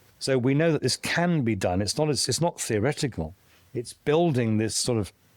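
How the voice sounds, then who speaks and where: Recorded very cleanly over a silent background, a man with a southern English accent uses lively intonation at very even loudness. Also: medium pitch for a man, moderate pace. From southern England (Kent). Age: 60s. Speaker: tech thinker, former construction worker. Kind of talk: casual interview conversation.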